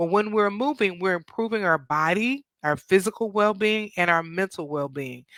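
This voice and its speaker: A woman with lively intonation, medium pitch and a moderate pace, on a very clean recording with a silent background. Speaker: therapist hosting a mental health show. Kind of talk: educational talk. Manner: casual with fillers.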